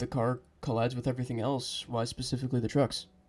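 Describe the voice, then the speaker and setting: A fairly quick pace over music in the background. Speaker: voiceover narrator. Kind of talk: comedic game critique narration. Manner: sarcastic, casual.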